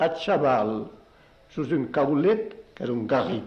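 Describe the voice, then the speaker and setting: His pitch moves in very wide swings. The man's delivery is very slow. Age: 70s. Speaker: poet. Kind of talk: interview answer.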